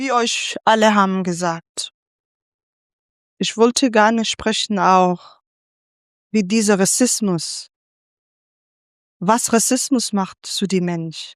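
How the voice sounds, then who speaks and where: Speaking very slowly with long, frequent pauses, a woman with a medium-pitched voice talks in a non-native accent. The recording is very clean, with a silent background and a dry, close sound with no echo. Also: ordinary pitch variation. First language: not German (speaking German). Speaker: panelist, migrant activist. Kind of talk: panel discussion. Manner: halting.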